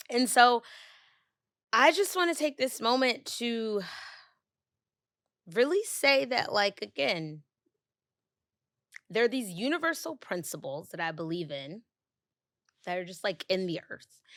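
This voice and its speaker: A woman with a fairly high pitch speaks with very wide pitch swings, big swings in loudness, and long, frequent pauses. The recording is very clean, with a silent background. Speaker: podcast host. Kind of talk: solo podcast reflection. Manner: halting with long pauses; casual.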